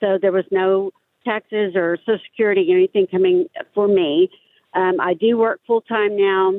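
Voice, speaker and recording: A woman uses an ordinary speaking voice at a medium pitch and a moderate pace. Her intonation is fairly even and her loudness very even. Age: 60s. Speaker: caller. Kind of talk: phone-in question.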